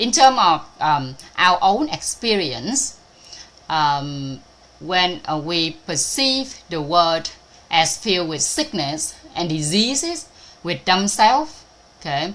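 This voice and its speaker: A Vietnamese accent with very wide pitch swings at a very slow pace. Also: woman, fairly low pitch for a woman. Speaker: spiritual teacher. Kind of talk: online talk. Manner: halting, many fillers.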